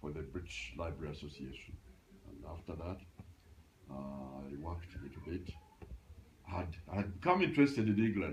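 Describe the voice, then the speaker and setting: Speaking at a fairly quick pace with a very deep, low pitch, a man uses lively intonation, long, frequent pauses and big swings in loudness, with audible room echo. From Uganda. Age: 80s+. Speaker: retired librarian. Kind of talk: interview. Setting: at home. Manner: halting.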